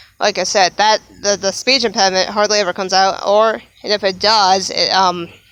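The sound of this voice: A woman's medium-pitched voice, fairly bright and clear with a smooth tone, at a moderate pace with fairly even intonation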